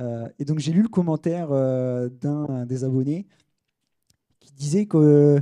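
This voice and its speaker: A man talks at a fairly high pitch with ordinary variation. His tone is dark and mellow, and the sound is dry and close with no echo. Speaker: sports tech consultant. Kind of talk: conference talk. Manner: fast; hesitant, many fillers.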